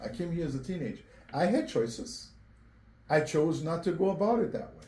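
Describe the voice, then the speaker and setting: With a Portuguese accent, a man talks fairly quickly in a dark, mellow tone at a high pitch. His intonation is lively, and the room echo is audible. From Angola (born Cape Verde). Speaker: mayoral candidate. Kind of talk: interview.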